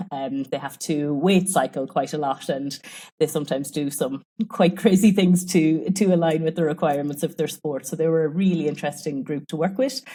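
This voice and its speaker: Over a silent background in a very clean recording, a woman with an Irish accent talks at a fairly quick pace, her dark, mellow tone sitting fairly low with ordinary pitch variation. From Ireland. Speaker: sports nutrition researcher. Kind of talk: podcast interview.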